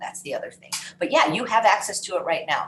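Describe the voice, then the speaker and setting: Her voice has a somewhat breathy quality. The speaker is female. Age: 60s. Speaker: wellness program host, chef. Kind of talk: live Q&A session. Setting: live video stream with chat.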